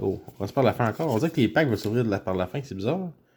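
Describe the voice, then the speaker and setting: A man's voice over noticeable background noise. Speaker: YouTuber opening card packs. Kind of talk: casual pack-opening commentary. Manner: animated.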